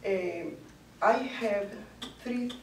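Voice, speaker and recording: Very slow pace with ordinary pitch variation, audible room echo and light background noise. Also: woman. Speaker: language club learner. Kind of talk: short personal talk in a second language. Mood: cheerful, laughing. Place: classroom. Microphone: camera far.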